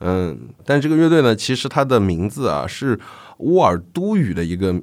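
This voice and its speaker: On a very clean recording with a silent background, a man talks with very wide pitch swings. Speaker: music podcast host. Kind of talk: solo podcast monologue. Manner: frequent fillers and hesitations.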